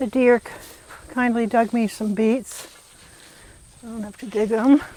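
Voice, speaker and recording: Noticeable background noise sits behind a woman's voice. She speaks at a fairly high pitch with monotone, flat intonation. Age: 70s. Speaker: farmer. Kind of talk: casual chat. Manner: halting.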